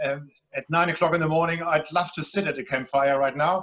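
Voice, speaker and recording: High-pitched for a man, this voice carries a German accent. He speaks at a fairly quick pace with monotone, flat intonation. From Germany, Hamburg. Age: 50s. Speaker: relationship guide and author. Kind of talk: panel discussion.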